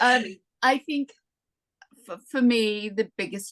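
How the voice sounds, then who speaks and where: At a fairly slow pace, a woman speaks in a dry, close sound with no echo. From UK. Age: 60s. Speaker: direct sales consultant. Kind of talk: interview conversation.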